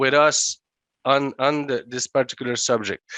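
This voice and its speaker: With a Quebec accent, the speaker uses a bright, sharp tone and monotone, flat intonation at a moderate pace, in a dry, close sound with no echo over a quiet background. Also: man. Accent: Québécois French accent in English. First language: French. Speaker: legislator. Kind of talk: panel speech. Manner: halting.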